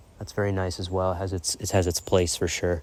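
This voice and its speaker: A man with an American accent, very deep and low in pitch, at a very fast pace. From Massachusetts, US. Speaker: vlogger. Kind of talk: casual vlog talk. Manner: halting, many fillers.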